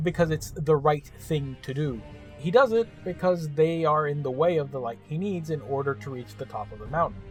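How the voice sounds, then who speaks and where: Music plays behind a man speaking at a moderate pace. His pitch is fairly high and varies in an ordinary way. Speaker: game reviewer. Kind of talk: video game review narration. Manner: sarcastic, humorous.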